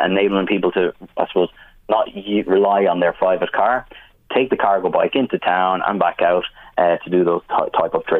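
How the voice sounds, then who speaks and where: In an Irish accent, a man with a fairly low pitch speaks at a moderate pace with fairly even intonation. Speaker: business manager. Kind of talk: radio interview.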